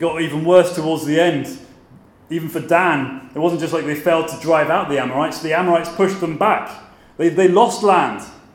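Noticeable background noise sits behind a man speaking at a high pitch. He talks at a fairly quick pace with fairly even intonation. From southern England. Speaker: pastor. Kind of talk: sermon-style conference talk. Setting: conference stage with audience.

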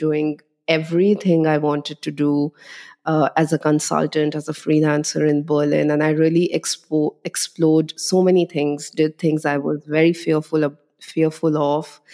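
In a very deep, low pitch and a monotone, flat delivery, a woman speaks at a moderate pace on a very clean recording with a silent background. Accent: Indian. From India (Delhi). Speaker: tech marketer, former journalist. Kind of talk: interview.

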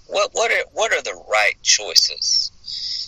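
A man talks very slowly with a Southern US accent. The sound is dry and close, with no echo. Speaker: hospice chaplain. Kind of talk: interview.

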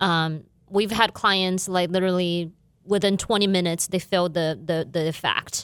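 A woman's fairly low voice with a Chinese accent and fairly even intonation, on a very clean recording with a silent background. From China, Guizhou province. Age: 40s. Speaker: business owner. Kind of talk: interview. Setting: studio.

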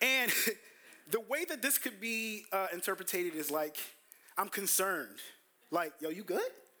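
In an American accent, a man speaks in a raised, projected voice at a high pitch, animated and bright with a sharp tone, lively intonation and a moderate pace. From US Northeast, Brooklyn, New York. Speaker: pastor. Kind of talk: sermon. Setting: church.

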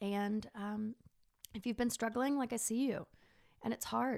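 With an American accent, a woman talks at a fairly high pitch. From Texas. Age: 30s. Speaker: podcast host. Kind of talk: personal monologue. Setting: studio.

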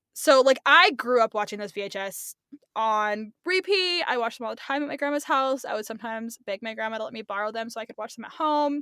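At a very fast pace and fairly high pitch, a woman speaks with lively intonation in a dry, close sound with no echo. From California. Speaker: podcast host, student teacher. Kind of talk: casual chat.

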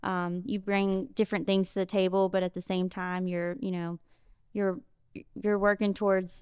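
Here a woman speaks at a moderate pace. Her medium pitch holds fairly even intonation. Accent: Mississippi. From Jackson, Mississippi. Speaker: podcast co-host. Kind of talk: casual podcast interview.

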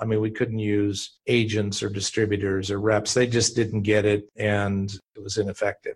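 On a very clean recording with a silent background, a man speaks at a moderate pace and medium pitch, sounding somewhat breathy. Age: 60s. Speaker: company founder and venture capitalist. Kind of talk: casual interview.

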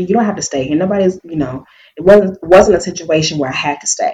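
A woman speaks at a fairly low pitch with ordinary pitch variation. Her voice is somewhat breathy. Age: 30s. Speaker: founder of a women's networking group and podcaster. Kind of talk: interview.

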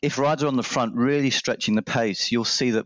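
A man with an Australian accent speaks with ordinary pitch variation, and the sound is dry and close with no echo. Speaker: listener who emailed the show. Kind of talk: casual interview.

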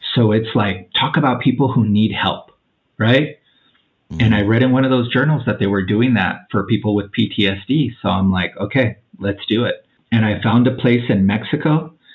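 Here a man speaks in an unremarkable speaking voice at a moderate pace. His medium pitch shows ordinary pitch variation, and his loudness stays very even. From Mexican-American family, US. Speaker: podcast guest sharing plant medicine experiences. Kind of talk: casual interview, personal testimony.

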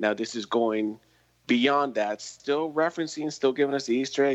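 A man with an ordinary speaking voice at a fairly quick pace. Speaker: podcast co-host. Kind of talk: casual chat. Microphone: poor sound quality.

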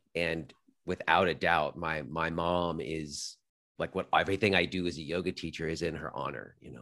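In an American accent, a man talks at a moderate pace with a very deep, low pitch. His pitch variation is ordinary, and the recording is very clean with a silent background. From US West Coast, Los Angeles suburbs. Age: 40s. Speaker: yoga teacher and podcaster. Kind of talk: interview conversation.

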